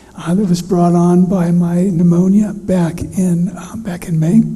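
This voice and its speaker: A high-pitched male voice in monotone, flat intonation at a moderate pace, with audible room echo and noticeable background noise. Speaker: pastor. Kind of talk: sermon. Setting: church. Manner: soft-spoken, careful not to strain voice.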